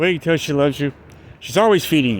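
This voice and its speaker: Intonation here is lively. The voice carries an American accent. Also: man. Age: 60s. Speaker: vlogger, expat in the Philippines. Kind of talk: casual vlog monologue. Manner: halting, with many fillers and repeats.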